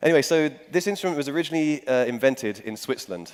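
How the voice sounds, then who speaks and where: A man with a London accent talks at a very fast pace with ordinary pitch variation. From England, London. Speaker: musician. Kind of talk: talk to audience. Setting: stage with audience. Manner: hesitant with many fillers.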